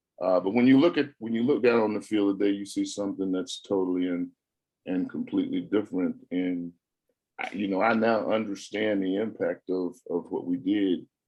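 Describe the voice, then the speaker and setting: In an American accent, a man with a plain, everyday voice speaks at a fairly low pitch and moderate pace with ordinary pitch variation. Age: 60s. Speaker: former college football player. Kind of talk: press conference interview. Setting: video call.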